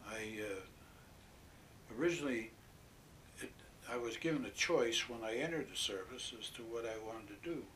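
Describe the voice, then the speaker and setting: A man at a medium pitch with ordinary pitch variation, a fairly quick pace, long and frequent pauses, and audible room echo. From western Pennsylvania. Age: 80s+. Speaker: war veteran. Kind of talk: oral history interview. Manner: halting.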